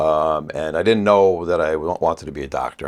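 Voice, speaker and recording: Someone with a New York accent speaks on a very clean recording with a silent background. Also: man. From US Northeast, Port Chester, Westchester, New York. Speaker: facial plastic surgeon. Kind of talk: casual chat.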